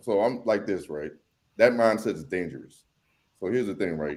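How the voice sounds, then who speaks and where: Fairly low-pitched and lively in intonation, a man with an unremarkable speaking voice talks at a fairly quick pace. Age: 40s. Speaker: political commentator guest. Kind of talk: casual panel discussion.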